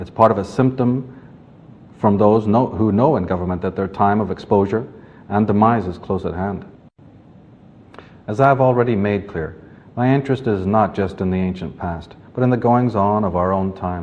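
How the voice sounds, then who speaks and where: Fairly low-pitched man at a moderate pace with long, frequent pauses, ordinary pitch variation, and audible room echo. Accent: Northern Irish. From Northern Ireland, Belfast. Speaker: author and lecturer. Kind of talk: lecture. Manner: formal.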